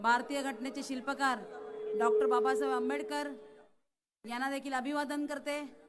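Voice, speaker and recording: A woman with a Marathi accent, long, frequent pauses and audible room echo. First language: Marathi (speaking Hindi). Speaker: election candidate. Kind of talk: political rally speech. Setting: stage with audience.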